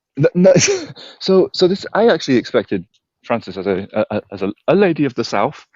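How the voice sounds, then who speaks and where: A man with a fairly high pitch and vocal fry talks at a fairly quick pace, swinging widely in pitch. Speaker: charity walker answering viewer questions. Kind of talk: casual chat. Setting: outdoors, walking, live stream. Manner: loud; hushed. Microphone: bad signal, lag.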